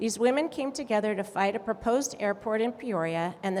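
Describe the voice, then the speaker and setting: At a moderate pace, a woman with an American accent talks in a fairly high voice with ordinary pitch variation over noticeable background noise. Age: 60s. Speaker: community activist. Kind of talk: conference speech.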